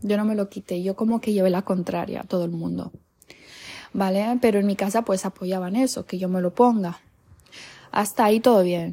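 A woman speaks in a dark, mellow tone that is somewhat breathy, with fairly even intonation. Long, frequent pauses break up her speech on a very clean recording with a silent background. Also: medium pitch for a woman, moderate pace. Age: 20s. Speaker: podcaster. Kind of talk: personal storytelling monologue.

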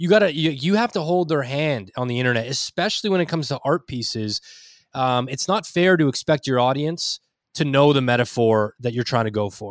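A man's fairly high-pitched voice with lively intonation and a fairly quick pace, in a dry, close sound with no echo. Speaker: YouTube creator. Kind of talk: casual chat.

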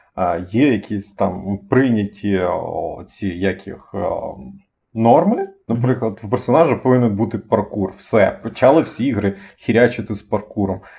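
At a fairly slow pace, a man speaks with a dark, mellow tone, somewhat breathy, at a medium pitch with ordinary pitch variation. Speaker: podcast co-host. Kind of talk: casual chat. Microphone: cheap poor-quality microphone.

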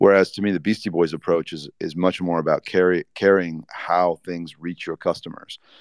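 In an American accent, a man speaks at a moderate pace with very deep, low pitch, monotone, flat intonation and hardly any pauses, the sound dry and close with no echo. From US Midwest, Indiana. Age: 40s. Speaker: tech executive. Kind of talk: panel discussion. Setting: live audio chat room.

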